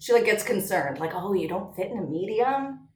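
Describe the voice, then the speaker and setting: Audible room echo surrounds a woman. Her animated voice is somewhat breathy. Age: 30s. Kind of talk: casual chat.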